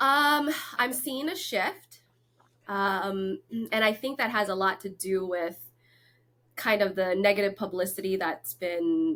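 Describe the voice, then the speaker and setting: In a very clean recording with a silent background, a woman with a Lao accent speaks at a very slow pace. Her pitch is medium and her intonation lively. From Florida and North Carolina, US. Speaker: real estate agent. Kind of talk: interview.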